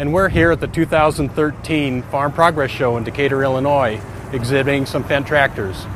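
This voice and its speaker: A man with fairly even intonation, a dry sound with no echo, and noticeable background noise. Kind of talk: product presentation. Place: open country.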